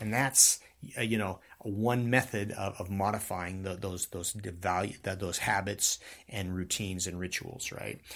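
A man in an unremarkable speaking voice, fairly low in pitch with fairly even intonation and a moderate pace, on a very clean recording with a silent background. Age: 50s. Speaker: podcast host and martial arts teacher. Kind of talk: solo talk on self-improvement. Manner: casual, conversational with filler words.

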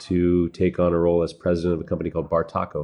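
This man has a very deep, low pitch. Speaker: master sommelier and restaurant executive. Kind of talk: interview.

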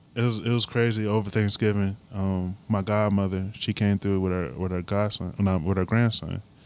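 A man with an American accent speaks at a moderate pace in a fairly low pitch, with fairly even intonation and hardly any pauses. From US Midwest, Elkhart, Indiana. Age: 20s. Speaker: musician and artist. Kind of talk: casual chat. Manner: halting.

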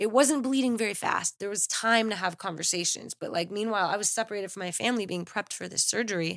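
In a very clean recording with a silent background, a woman with an American accent and medium pitch talks at a very fast pace with hardly any pauses, using an animated tone and ordinary pitch variation. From Los Angeles, US. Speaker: aneurysm survivor. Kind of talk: casual chat.

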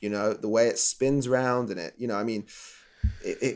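This man has a British accent. He speaks at a fairly quick pace. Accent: English (UK). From England. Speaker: chef and TV show co-host. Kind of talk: casual interview. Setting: living in Canada.

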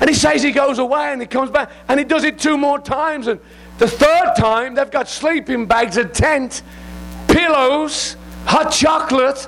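A man with an English accent speaks in an extremely high pitch and an animated tone. Noticeable background noise runs underneath. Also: ordinary pitch variation, moderate pace. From England. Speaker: visiting preacher. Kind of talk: sermon. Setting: church.

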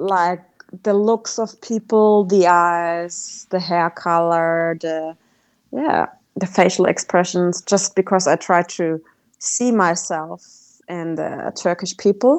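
In a German accent, a woman with a fairly low pitch speaks very slowly and with fairly even intonation. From Germany. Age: 30s. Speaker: travelling cyclist. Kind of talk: casual interview.

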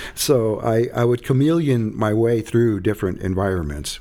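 Speaking in an American accent, a man has a fairly low pitch. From Arizona. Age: 60s. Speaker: author and healing circle facilitator in recovery. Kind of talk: casual interview conversation.

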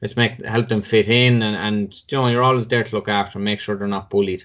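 Speaking with a Tipperary accent, a man talks at a medium pitch. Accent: Irish (Tipperary). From Ireland, Cashel, County Tipperary. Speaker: former inter-county hurler and footballer. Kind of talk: podcast interview.

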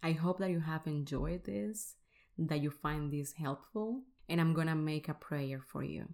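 A woman with a Spanish accent speaks at a fairly slow pace in a very deep, low voice with ordinary pitch variation, on a very clean recording with a silent background. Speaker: podcast host, faith-based weight coach. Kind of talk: motivational solo podcast talk; prayer.

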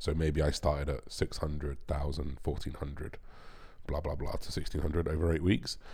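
Speaking at a moderate pace, a man with a very deep, low pitch uses monotone, flat intonation and vocal fry. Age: 30s. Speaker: bodybuilder and podcast host. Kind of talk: casual solo podcast monologue.

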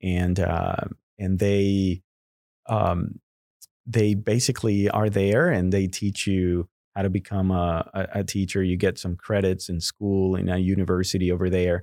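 A man with a Mexican accent speaks at a fairly slow pace, his pitch very deep and low with a dark, mellow tone. His intonation is monotone and flat, his loudness very even, and the recording is very clean with a silent background. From Guadalajara, Mexico. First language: Spanish. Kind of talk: interview conversation.

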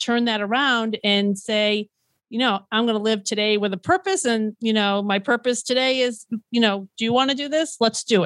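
A normal speaking voice from a woman, fairly high in pitch, with fairly even intonation and a moderate pace. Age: 50s. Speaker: food truck owner. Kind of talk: interview.

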